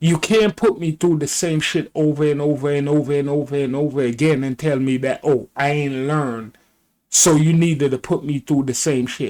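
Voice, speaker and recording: An ordinary speaking voice, fairly even in intonation, at a moderate pace. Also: man, fairly high pitch for a man. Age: 60s. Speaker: video commentator. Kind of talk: opinion commentary reacting to clips.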